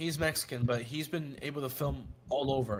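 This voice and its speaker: The voice is somewhat breathy and fairly quick. The recording is very clean, with a silent background. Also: man. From South Florida, Colombian family. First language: Spanish. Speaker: actor. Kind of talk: casual chat. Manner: halting.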